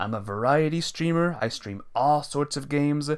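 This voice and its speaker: Lively intonation at a moderate pace, on a very clean recording with a silent background. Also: man. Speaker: video game streamer. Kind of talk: casual live stream commentary. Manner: low energy.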